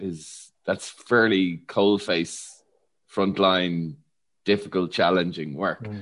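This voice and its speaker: A man speaks with an Irish accent at a fairly slow pace. The background is quiet. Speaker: podcast host and psychologist. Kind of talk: interview.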